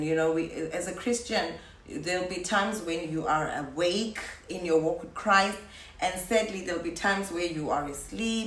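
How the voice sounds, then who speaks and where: A woman speaks at a fairly low pitch for a woman. The room echo is audible, and there is noticeable background noise. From South Africa. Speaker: YouTuber. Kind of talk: casual vlog talk to viewers.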